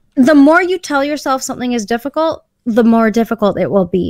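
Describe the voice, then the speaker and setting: Her pitch swings very widely as this woman talks at a moderate pace. The sound is dry and close, with no echo. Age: 30s. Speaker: podcast guest. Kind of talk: casual chat. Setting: video call.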